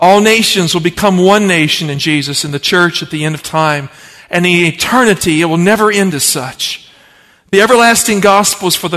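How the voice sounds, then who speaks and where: Bright and sharp in tone, a man speaks at a high pitch with an American accent. His pace is moderate and his pitch variation ordinary. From Appalachian Virginia. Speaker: pastor. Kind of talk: sermon.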